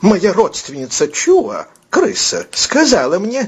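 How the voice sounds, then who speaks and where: A whiny, squeaky put-on character voice from a man, pitched extremely high and delivered at a fairly slow pace. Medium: read story. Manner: whiny, tearful, fearful.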